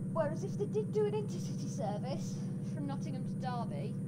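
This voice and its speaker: Noticeable background noise sits under the recording. A woman speaks at a fairly quick pace. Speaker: gaming YouTuber reviewing train simulator add-ons. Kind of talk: casual gameplay commentary. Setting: home microphone recording.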